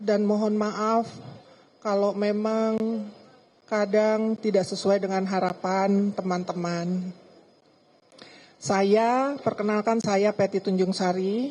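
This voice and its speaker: A woman speaks very slowly in a dark, mellow tone at medium pitch. Her intonation is monotone and flat, and her loudness stays very even. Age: 60s. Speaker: bereaved family member. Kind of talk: press statement.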